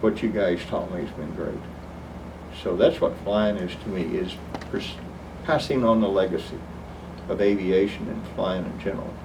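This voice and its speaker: With long, frequent pauses, someone speaks at a moderate pace with ordinary pitch variation, amid noticeable background noise and audible room echo. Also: man, fairly low pitch for a man. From Oklahoma. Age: 60s. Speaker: flight instructor. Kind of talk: oral history interview.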